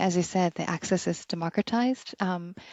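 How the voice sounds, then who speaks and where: A woman speaks at a moderate pace in a normal speaking voice, medium-pitched with fairly even intonation. The background is quiet, and the sound is dry and close with no echo. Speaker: podcast host. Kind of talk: podcast interviewer.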